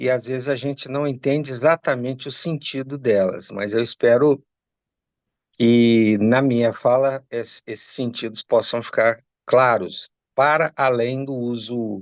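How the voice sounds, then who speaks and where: In an ordinary speaking voice, a man of medium pitch talks fairly slowly with fairly even intonation, the sound dry and close with no echo and the background quiet. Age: 60s. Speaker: lawyer. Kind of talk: interview.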